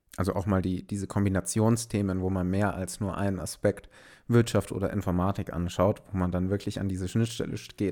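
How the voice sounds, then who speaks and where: A dark, mellow tone in a flat monotone at a fairly quick pace, on a very clean recording with a silent background. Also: man, very deep, low pitch for a man. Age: 20s. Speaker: podcast host, business informatics graduate. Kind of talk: casual chat. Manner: unscripted, spontaneous.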